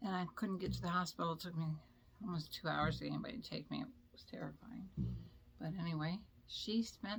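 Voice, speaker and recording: A woman with vocal fry talks at a fairly low pitch and a fairly quick pace. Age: 70s. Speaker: makeup vlogger. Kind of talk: casual chat. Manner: rambling, halting.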